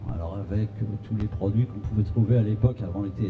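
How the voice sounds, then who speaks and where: A man's fairly low voice with audible room echo. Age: 60s. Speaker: patient association secretary. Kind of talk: testimony at a conference.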